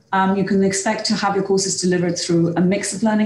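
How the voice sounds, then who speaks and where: Speaking at a fairly quick pace, a woman talks in a flat monotone, with audible room echo and light background noise. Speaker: head of higher education at a college. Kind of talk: presentation. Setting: video call.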